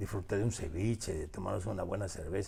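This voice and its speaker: A man with a Peruvian accent, somewhat breathy and dark, mellow in tone, at a fairly quick pace with ordinary pitch variation. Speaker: author. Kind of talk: interview. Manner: halting, many repetitions.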